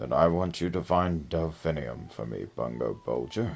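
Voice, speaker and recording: A put-on character voice from a man, pitched very deep and low, delivered at a moderate pace. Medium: game stream. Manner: measured, knowing, cryptic.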